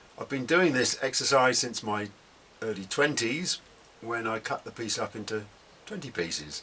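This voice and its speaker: Noticeable background noise fills the recording. Over it, a man talks at a moderate speed. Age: 70s. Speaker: potter. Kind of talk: tutorial. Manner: relaxed, conversational.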